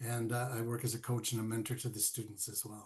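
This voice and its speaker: A somewhat breathy man talks at a very fast pace. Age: 70s. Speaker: golf course ambassador and college instructor. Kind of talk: interview conversation. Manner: halting, with many fillers and repeats.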